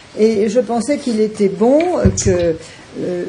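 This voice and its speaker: Through noticeable background noise and audible room echo, a woman talks at a fairly slow pace and fairly high pitch with lively intonation. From France, Paris. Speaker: author and lecturer. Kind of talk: talk at a round table. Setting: university lecture room with audience. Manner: halting with many fillers.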